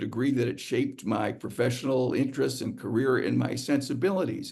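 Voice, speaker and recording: This man's delivery moves at a moderate speed. His voice carries audible echo from the room. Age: 70s. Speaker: psychiatrist and psychoanalyst giving a talk. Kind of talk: lecture. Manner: halting, many fillers and repetitions; stutter-like repeats.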